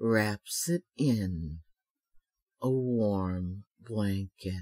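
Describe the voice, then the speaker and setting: In a dry, close sound with no echo, a man talks in a soothing tone at a fairly low pitch with ordinary pitch variation. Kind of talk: hypnotic trance narration. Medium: solo performance. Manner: slow, soothing, rhythmic.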